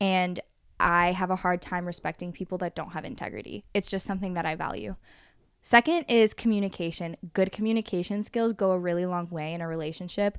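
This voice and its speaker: On a very clean recording with a silent background, a woman of medium pitch speaks at a fairly quick pace with ordinary pitch variation. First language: Spanish. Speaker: podcast host. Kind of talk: casual chat.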